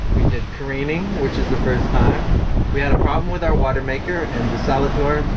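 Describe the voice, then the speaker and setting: A moderate pace over loud background noise. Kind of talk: casual vlog chat. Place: boat. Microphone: phone near.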